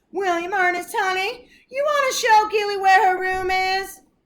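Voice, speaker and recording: Putting on a squeaky character voice, a woman speaks at a moderate pace in an extremely high pitch with a warm tone. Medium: read story. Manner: warm, folksy.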